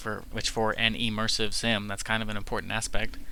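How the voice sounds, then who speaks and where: A man speaks in a bright, sharp tone, his pitch varying in an ordinary way. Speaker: gaming youtuber. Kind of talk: casual video commentary. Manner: halting, many fillers and restarts.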